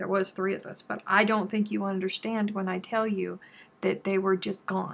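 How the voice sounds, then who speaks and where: In a very clean recording with a silent background, a woman with an American accent speaks at medium pitch and a moderate pace in a monotone, flat intonation. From South Carolina. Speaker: crochet YouTuber. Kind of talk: casual live-stream chat while crafting. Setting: YouTube live stream.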